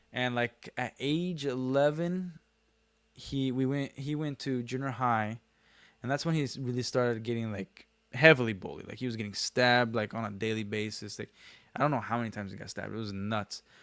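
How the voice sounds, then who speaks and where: A man with a medium pitch and ordinary pitch variation talks at a fairly quick pace on a very clean recording with a silent background. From Brazil, raised in Kearns, Utah from age five. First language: Portuguese. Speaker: livestreamer, former franchise owner. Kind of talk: casual livestream chat. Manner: sing-song up and down intonation; clear, careful enunciation.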